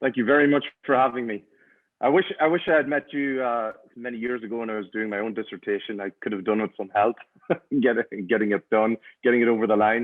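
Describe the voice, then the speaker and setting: A man with an Irish accent at a very fast pace. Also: medium pitch for a man, ordinary pitch variation. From Ireland. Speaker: high-performance coach. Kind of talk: interview.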